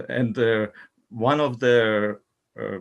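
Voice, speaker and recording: A medium-pitched male voice with a non-native accent. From Ukraine. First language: not English. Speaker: talk circle participant. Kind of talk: group discussion. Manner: halting.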